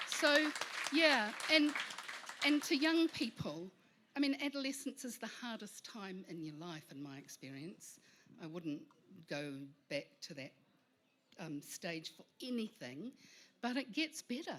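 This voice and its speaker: A woman's bright, sharp voice with vocal fry, very wide pitch swings, big swings in loudness and long, frequent pauses. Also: fairly high pitch for a woman, fairly slow pace. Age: 60s. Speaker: panel guest. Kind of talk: panel discussion.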